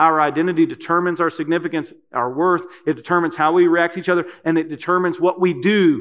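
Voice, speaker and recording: In a Kentucky accent, a high-pitched man speaks at a very fast pace with hardly any pauses and fairly even intonation. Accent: Kentucky Southern US. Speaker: preacher. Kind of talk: sermon. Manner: hesitant, many fillers.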